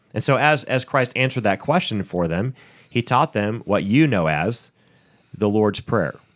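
A man speaks at a moderate pace with lively intonation and medium pitch in a normal speaking voice. The recording is very clean, with a silent background. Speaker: pastor and podcast host. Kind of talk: podcast hosting.

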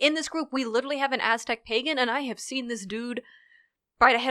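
Recorded very cleanly against a silent background, a woman with an American accent talks very fast in a bright, sharp tone, the sound dry and close with no echo. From United States. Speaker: historian and druid, podcast guest. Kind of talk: casual chat.

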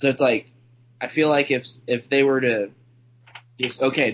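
A man at a moderate pace and medium pitch. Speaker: fill-in co-host. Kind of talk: casual chat. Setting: studio.

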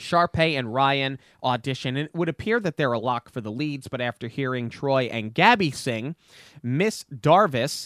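A man with an American accent speaks in an ordinary speaking voice at medium pitch and a fairly slow pace, with ordinary pitch variation, in a dry, close sound with no echo on a very clean recording with a silent background. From US Northeast. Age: 30s. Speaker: podcast host. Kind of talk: casual chat.

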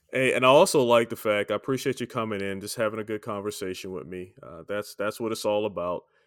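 A man with a normal speaking voice talks at a medium pitch and moderate pace, with ordinary pitch variation, in a dry, close sound with no echo. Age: 50s. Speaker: podcast host. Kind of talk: casual interview. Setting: remote call.

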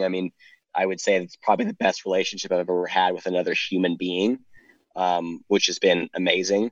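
A man with an American accent speaks in an unremarkable speaking voice, fairly low in pitch, at a fairly quick pace with fairly even intonation, in a dry, close recording with no echo. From Ohio. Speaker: professional swimmer. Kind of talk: casual chat.

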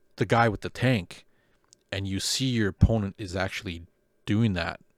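The recording is very clean, with a silent background and a dry, close sound with no echo. A man speaks at a fairly low pitch. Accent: Canadian. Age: 40s. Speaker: podcast host, wargaming hobbyist. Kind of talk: casual chat. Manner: laughs often.

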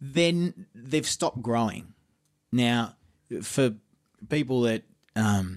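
With an Australian accent, a man talks at a medium pitch in a very clean recording with a silent background. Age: 50s. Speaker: musician and producer. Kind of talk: casual interview chat.

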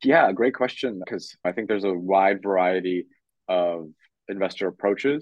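A normal speaking voice from a man, fairly low in pitch, at a moderate pace with ordinary pitch variation. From Canada. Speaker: venture capital investor. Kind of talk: interview.

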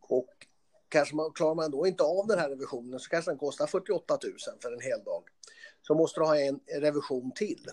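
Fairly quick and fairly high-pitched, a man talks with ordinary pitch variation and big swings in loudness. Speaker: trade association CEO, former car mechanic. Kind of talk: interview. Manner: halting, with repetitions.

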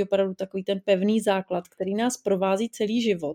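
The voice has a dark, mellow tone and a monotone, flat intonation. It moves at a fairly quick pace. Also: woman, dry, close sound with no echo. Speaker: psychologist. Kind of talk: interview.

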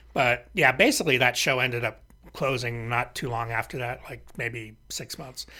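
In a very clean recording with a silent background, a man with an American accent and a bright, sharp tone speaks at a moderate pace and medium pitch, with fairly even intonation and big swings in loudness. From US West Coast, Los Angeles. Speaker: podcast host, musician and music writer. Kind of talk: casual chat. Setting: studio.

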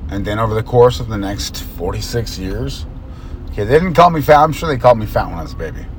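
A man speaks at a very fast pace with big swings in loudness over noticeable background noise. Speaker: podcast host. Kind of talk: solo monologue. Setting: in a car.

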